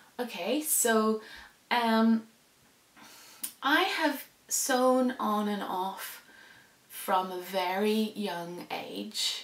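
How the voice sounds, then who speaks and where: Speaking at a very slow pace, a woman uses a fairly high pitch with ordinary variation. Long, frequent pauses break up her speech. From Indonesia (international school), later Northern Ireland. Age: 30s. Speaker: sewing vlogger. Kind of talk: casual vlog talk. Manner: hesitant, many fillers.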